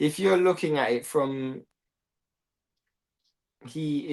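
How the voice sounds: The man's voice has a slightly mellow tone.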